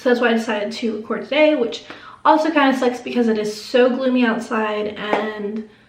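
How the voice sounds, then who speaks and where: The speech moves at a fairly quick pace with fairly even intonation, with noticeable background noise and audible room echo. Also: woman, fairly high pitch for a woman. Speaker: beauty YouTuber. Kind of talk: makeup tutorial. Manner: casual, chatty.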